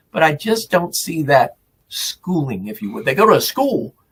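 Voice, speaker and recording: Here a man speaks at a fairly high pitch. His pace is moderate. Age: 70s. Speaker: veteran wrestling announcer. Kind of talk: casual interview chat.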